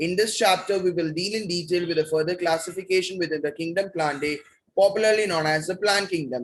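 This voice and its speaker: A man speaks with a high voice. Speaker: biology teacher. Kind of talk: lecture. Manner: soft-spoken; fast.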